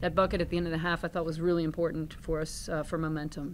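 Fairly low in pitch, a woman talks very fast over light background noise. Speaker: head basketball coach. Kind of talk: press conference answer. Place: meeting room. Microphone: podium.

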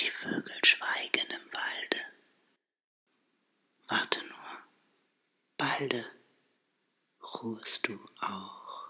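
The speaker whispers at a very slow pace. Long, frequent pauses break up the speech. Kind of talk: poetry reading. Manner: whispered.

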